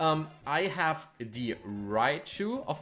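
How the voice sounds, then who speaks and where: A man with a German accent speaks with lively intonation over music playing in the background. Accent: German accent, non-native English. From Germany. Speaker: gaming streamer. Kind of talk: live stream gameplay commentary with chat. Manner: casual, hesitant with frequent fillers.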